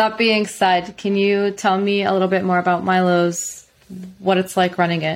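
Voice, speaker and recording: Her intonation is monotone and flat, and this woman keeps her loudness very even. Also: medium pitch for a woman, moderate pace. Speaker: podcast host. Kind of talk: casual interview chat.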